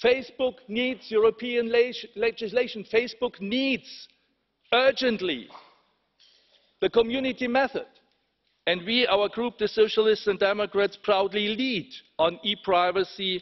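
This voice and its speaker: Speaking with a German accent, a man with a high pitch keeps a fairly even intonation at a fairly slow pace, with long, frequent pauses. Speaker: politician. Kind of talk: parliamentary speech. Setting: parliament chamber.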